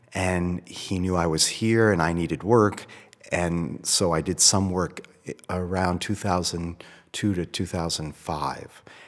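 In an American accent, a man speaks with a very deep, low pitch. His pace is fairly slow and his intonation fairly even. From US Northeast, Boston. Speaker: photographer and MFA program director. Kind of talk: interview. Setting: hotel room.

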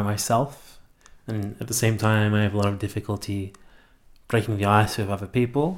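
A man with an Australian accent, fairly low pitch, fairly even intonation and moderate pace on a very clean recording with a silent background. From Melbourne, Australia. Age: 20s. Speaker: university student. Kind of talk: interview. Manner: halting.

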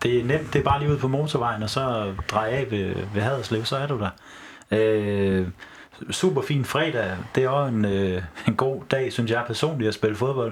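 A man's medium-pitched voice at a fairly slow pace. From Horsens, Denmark. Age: 20s. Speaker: football fan, teacher student. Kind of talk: casual chat. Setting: studio. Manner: halting.

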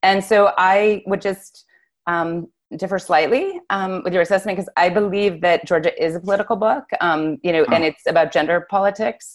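A woman has an ordinary speaking voice at medium pitch with an American accent. She talks at a moderate pace with ordinary pitch variation. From US Northeast, Massachusetts (Newton, Cambridge). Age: 50s. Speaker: novelist. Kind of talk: casual chat.

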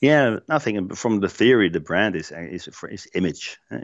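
A man speaks at a moderate pace with a Dutch accent. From Netherlands, Eindhoven. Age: 50s. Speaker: place branding marketer. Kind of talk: interview conversation. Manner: halting, many fillers and repetitions.

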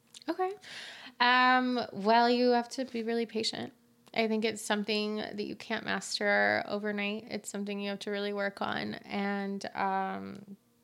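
A woman with an American accent at a fairly slow pace, on a very clean recording with a silent background. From Utah, US. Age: 30s. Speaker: fashion designer. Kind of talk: interview.

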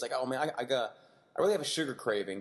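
A man's animated voice, fairly high in pitch with vocal fry and very wide pitch swings, over a quiet background. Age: 30s. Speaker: fitness podcast host. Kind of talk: casual chat.

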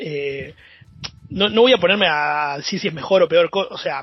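This is a man speaking. His pitch is high. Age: 30s. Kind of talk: casual chat.

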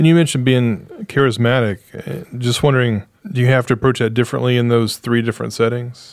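Here a man with a medium pitch talks at a fairly quick pace, with hardly any pauses and very even loudness. It is an unremarkable speaking voice with ordinary pitch variation. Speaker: podcast co-host. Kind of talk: casual interview chat.

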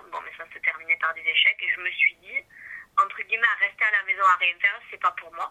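With big swings in loudness, a woman talks at a fairly quick pace, the sound dry and close with no echo. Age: 30s. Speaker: beauty blogger and web writer. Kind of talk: interview. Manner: hesitant, many fillers.

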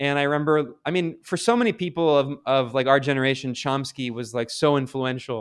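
A man with an American accent uses a normal speaking voice at a fairly high pitch. He barely pauses and shows ordinary pitch variation. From US Midwest and South (Ohio, Kentucky, Maryland). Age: 30s. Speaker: journalist. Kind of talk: interview. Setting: video call. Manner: casual, many fillers.

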